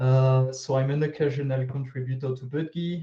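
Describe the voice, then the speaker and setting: A man with a French accent speaks at a moderate pace in a medium-pitched, somewhat breathy voice with a dark, mellow tone. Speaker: open source contributor. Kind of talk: video call workshop discussion. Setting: video call.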